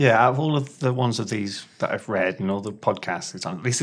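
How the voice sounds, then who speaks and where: A man with an unremarkable speaking voice talks at a moderate pace with ordinary pitch variation on a very clean recording with a silent background. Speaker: magazine team member, co-host. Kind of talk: casual chat.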